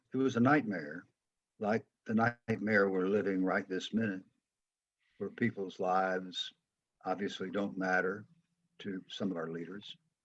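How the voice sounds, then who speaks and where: A man with an American accent, fairly low pitch and fairly even intonation, at a fairly slow pace with long, frequent pauses. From US South, Atlanta, Georgia. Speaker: former football player and coach. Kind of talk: interview.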